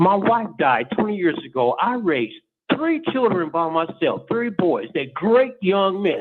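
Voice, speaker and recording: A man's high-pitched, animated voice at a fairly slow pace, with very wide pitch swings and music in the background. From Los Angeles, US West Coast. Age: 60s. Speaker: caller. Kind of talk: phone-in rant. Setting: phone call.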